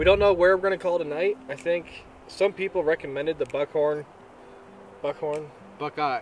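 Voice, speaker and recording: Over light background noise, a man talks at a fairly quick pace with ordinary pitch variation, and the sound is dry with no echo. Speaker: overland trip vlogger. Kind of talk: casual vlog chat. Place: forest.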